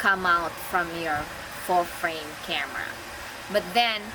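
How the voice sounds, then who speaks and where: A woman's medium-pitched voice with a Filipino accent and ordinary pitch variation, plus audible room echo and noticeable background noise. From Philippines. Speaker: photography vlogger. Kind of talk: casual product review vlog. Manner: halting.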